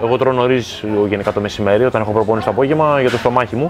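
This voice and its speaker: A man talks while music plays faintly behind him. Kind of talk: interview answer. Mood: relaxed, calm. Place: home room. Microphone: lapel.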